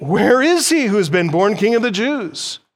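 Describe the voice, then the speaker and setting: In a put-on character voice, a man speaks at a high pitch. The pace is moderate. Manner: questioning, calling out.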